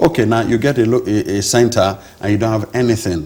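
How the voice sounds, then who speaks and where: A man speaks at a medium pitch and a fairly quick pace, his voice somewhat breathy. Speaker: doctor running free rural healthcare charity. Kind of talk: interview. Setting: studio. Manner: hesitant, many fillers and restarts.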